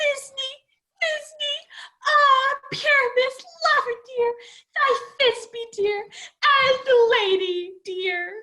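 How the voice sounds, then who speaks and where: Here is a woman in a put-on character voice with an extremely high pitch. Her pace is very slow. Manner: affected, theatrical.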